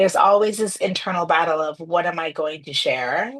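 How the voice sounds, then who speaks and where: A woman with a Chicago accent speaks at a moderate pace in a fairly low voice, her pitch varying in an ordinary way. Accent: American, Chicago. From Trinidad, raised in Chicago. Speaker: former corporate executive, business owner. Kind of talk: podcast interview.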